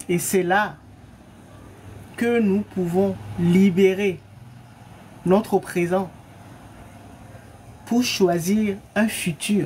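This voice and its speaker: Long, frequent pauses punctuate delivery at a very slow pace. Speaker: spiritual coach. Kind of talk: teaching talk from a live. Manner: soft-spoken.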